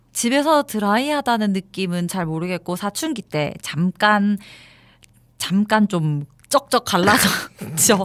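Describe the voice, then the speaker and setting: Speaking at a very slow pace in a Daegu accent, a woman with a medium-pitched voice uses lively intonation, captured in a very clean recording with a silent background and a dry, close sound with no echo. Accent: Gyeongsang (Daegu) dialect. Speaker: radio host. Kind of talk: casual chat.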